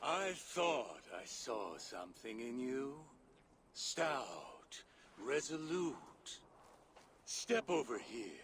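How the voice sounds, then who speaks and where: A man puts on a character voice at a medium pitch, speaking at a very slow pace with long, frequent pauses. His pitch swings very widely. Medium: video game. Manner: cold, commanding.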